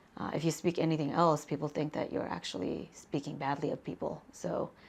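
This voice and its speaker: A woman with an American accent, very deep and low in pitch, with vocal fry and a fairly quick pace. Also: ordinary pitch variation. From Cambridge, Massachusetts (moved from Tibetan exile community as child). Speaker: PhD student. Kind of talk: oral history interview. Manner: halting, many fillers.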